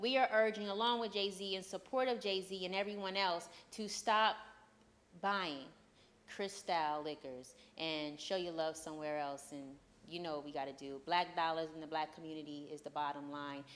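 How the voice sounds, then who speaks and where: Using a plain, everyday voice, a woman speaks at a moderate pace and a fairly low pitch, with ordinary pitch variation. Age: young. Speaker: TV talk show host. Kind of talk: interview; TV news segment. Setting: on-location TV shoot at a gallery. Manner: casual.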